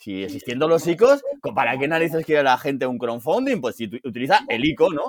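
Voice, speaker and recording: A normal speaking voice at a fairly quick pace, with lively intonation and big swings in loudness. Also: man, fairly high pitch for a man. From Spain, Alicante. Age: 50s. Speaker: DeFi analyst and former banker. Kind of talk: interview.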